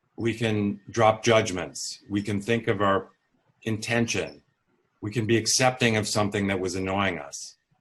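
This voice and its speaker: In a calm tone, a man with a fairly low pitch talks at a moderate pace with fairly even intonation. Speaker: physician and author. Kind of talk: interview.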